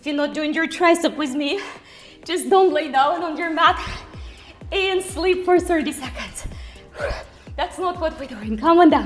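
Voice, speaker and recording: Extremely high-pitched, a woman speaks at a moderate pace with ordinary pitch variation, big swings in loudness and long, frequent pauses over faint music in the background. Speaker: fitness instructor. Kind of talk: workout coaching cues.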